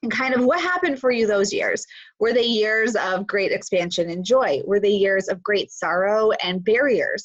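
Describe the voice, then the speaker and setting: A woman with a plain, everyday voice speaks at a fairly high pitch and a moderate pace, her intonation lively. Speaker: spiritual teacher livestream host. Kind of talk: live stream talk. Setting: live stream on Zoom and Facebook.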